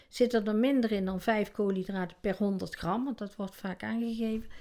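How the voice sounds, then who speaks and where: A woman talks at a moderate pace in a dark, mellow tone with fairly even intonation. The recording is very clean, with a silent background. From Netherlands, North Brabant. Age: 60s. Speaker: interviewee with obesity. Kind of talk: casual interview. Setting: at home.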